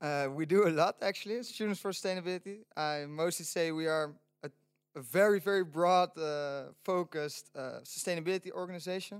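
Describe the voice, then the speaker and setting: A man with a Dutch accent and a high pitch, at a fairly quick pace with ordinary pitch variation, in a dry, close sound with no echo. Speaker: student sustainability organizer. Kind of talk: casual chat. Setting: studio.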